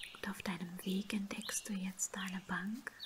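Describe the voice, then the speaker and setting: Soft-spoken and calm in tone, a woman talks at a very slow pace and a medium pitch with fairly even intonation. Loud background noise runs underneath. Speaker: ASMR and meditation creator. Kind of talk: guided meditation. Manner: soft-spoken, slow, calm. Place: home room.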